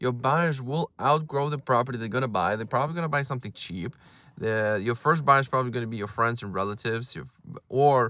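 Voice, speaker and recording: Talking at a very fast pace with a non-native accent, a man has a bright, sharp tone at medium pitch with ordinary pitch variation. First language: not English. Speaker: real estate agent and brokerage owner. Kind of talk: casual advice talk to camera. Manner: halting, many fillers and repeated words.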